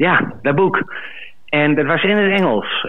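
Music plays in the background. A man talks at a moderate pace with ordinary pitch variation. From Twente, eastern Netherlands. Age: 40s. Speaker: caller, farmer. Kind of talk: storytelling. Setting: phone call.

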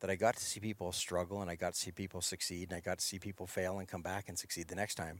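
The recording is very clean, with a silent background. A man talks very fast in a very deep, low pitch. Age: 50s. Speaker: life coach and endurance racer. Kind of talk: casual interview conversation.

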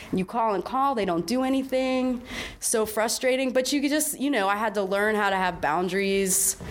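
A woman's fairly high voice at a moderate pace, with ordinary pitch variation, very even loudness and noticeable background noise. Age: 40s. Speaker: prison justice activist and art curator. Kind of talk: casual interview. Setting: art gallery.

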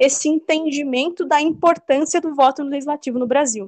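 In a dry, close recording with no echo, a woman talks at a moderate pace with a high pitch and ordinary pitch variation. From interior of São Paulo state, Brazil. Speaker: political science graduate and researcher. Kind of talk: interview.

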